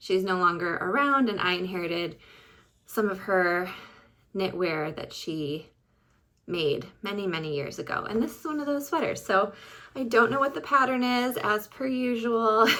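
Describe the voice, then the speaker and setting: A woman's medium-pitched voice with a bright, sharp tone and very wide pitch swings, in an Upper Midwest accent at a moderate pace on a very clean recording with a silent background. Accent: Upper Midwest American. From Michigan. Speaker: podcast host, knitter. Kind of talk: casual vlog chat.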